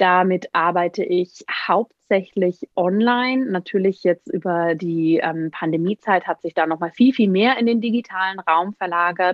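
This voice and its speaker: A woman's unremarkable speaking voice at medium pitch and moderate pace, with ordinary pitch variation and hardly any pauses. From Bavaria, Germany. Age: 30s. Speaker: Ayurveda expert. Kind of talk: interview.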